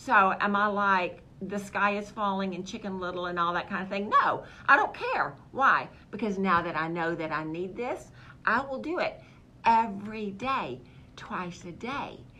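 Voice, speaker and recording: Amid noticeable background noise and audible room echo, a woman with a medium pitch speaks at a moderate pace in an animated tone with ordinary pitch variation. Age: 60s. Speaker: holistic health practitioner. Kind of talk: health talk show monologue.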